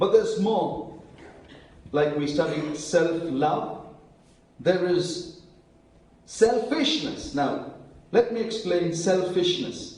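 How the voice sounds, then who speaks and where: With long, frequent pauses and lively intonation, a high-pitched man speaks at a very slow pace in a room with audible echo. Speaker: preacher. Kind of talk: sermon.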